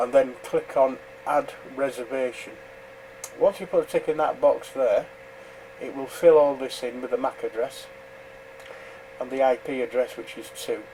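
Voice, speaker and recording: A man with a British accent at a moderate pace, with long, frequent pauses, big swings in loudness and noticeable background noise. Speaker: amateur radio operator. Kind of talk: tutorial. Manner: hesitant, many fillers.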